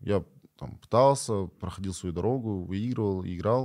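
Here is a man with a plain, everyday voice and a fairly low pitch, talking at a moderate pace with ordinary pitch variation. The recording is very clean with a silent background. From Kyrgyzstan. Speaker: esports player. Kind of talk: interview.

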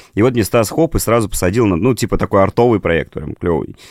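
A man with an ordinary speaking voice is heard with ordinary pitch variation. The sound is dry and close with no echo, on a very clean recording with a silent background. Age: 30s. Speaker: creative director and design teacher. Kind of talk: casual chat.

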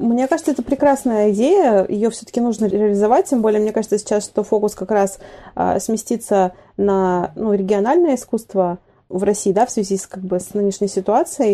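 An ordinary speaking voice keeps a middling tempo, its pitch moving in a normal way. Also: woman, fairly high pitch for a woman. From Vladivostok, Russian Far East. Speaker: art center director, curator. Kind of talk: casual interview.

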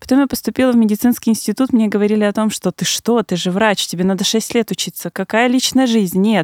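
Speaking at a very fast pace with hardly any pauses, a woman keeps a fairly high pitch and fairly even intonation, recorded with a dry, close sound and no echo. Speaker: gynecologist. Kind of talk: expert interview.

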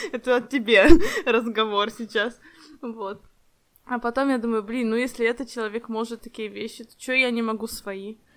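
A woman speaks at a fairly high pitch with monotone, flat intonation. She takes long, frequent pauses, and her loudness swings widely. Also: moderate pace. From Ukraine. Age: 20s. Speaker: podcast co-host, project manager. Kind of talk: casual chat.

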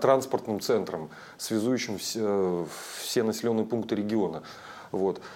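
A man talks at a fairly slow pace. His voice sits at a medium pitch with a dark, mellow tone. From Russian Far East (Chukotka). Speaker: tour operator and travel writer. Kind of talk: interview. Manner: hesitant, many fillers.

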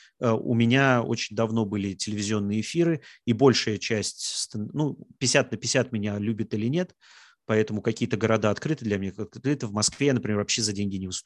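A man at medium pitch has a plain, everyday voice, a fairly quick pace and ordinary pitch variation. The sound is dry and close, with no echo. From Russia, Samara. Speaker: stand-up comedian. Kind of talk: casual talk, online Q&A.

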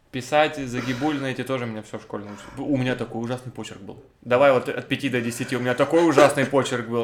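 Over noticeable background noise, a man talks at a very fast pace and medium pitch, his intonation monotone and flat, with big swings in loudness. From Russia, Cherepovets. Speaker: podcast co-host. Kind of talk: casual chat.

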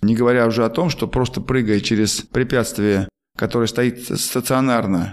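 In a very clean recording with a silent background, a man with a plain, everyday voice speaks at medium pitch and a moderate pace. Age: 50s. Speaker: former marathon runner and running coach, podcast host. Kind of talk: casual interview.

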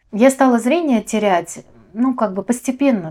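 A woman speaks with lively intonation in a dark, mellow tone. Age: 30s. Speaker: visually impaired guide dog owner, accessibility project member. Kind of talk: casual interview.

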